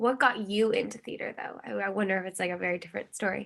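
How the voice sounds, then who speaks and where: At a very fast pace, a woman speaks at medium pitch in a bright, sharp tone with vocal fry. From US Pacific Northwest, Seattle. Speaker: theater student interviewer. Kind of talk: interview.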